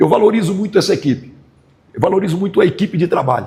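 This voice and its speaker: A man with a high voice and a dark, mellow tone talks very fast with lively intonation. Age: 60s. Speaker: football coach. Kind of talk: press conference. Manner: halting, repeats words.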